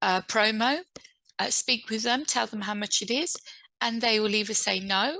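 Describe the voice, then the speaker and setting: Against a quiet background, a woman with an English accent speaks fairly slowly in a bright, sharp tone, her fairly high pitch showing ordinary variation. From England. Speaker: author and publishing speaker. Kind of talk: online event talk. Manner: halting, many fillers.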